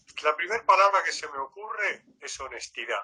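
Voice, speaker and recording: A man speaks with lively intonation. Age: 80s+. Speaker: retired volunteer, interviewee. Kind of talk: interview conversation.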